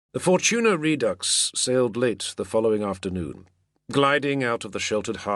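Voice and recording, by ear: Lively intonation and a quiet background behind someone reading aloud in a natural voice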